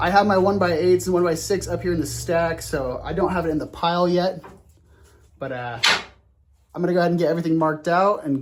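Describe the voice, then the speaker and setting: A man with a fairly high voice talks at a fairly quick pace. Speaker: woodworking YouTuber. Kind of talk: tutorial. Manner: fast.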